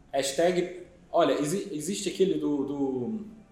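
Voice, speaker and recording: With lively intonation and a high pitch, a man speaks at a very slow pace amid audible room echo. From Azores, Terceira island. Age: 40s. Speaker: company founder. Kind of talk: casual interview. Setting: studio. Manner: repeats words, halting.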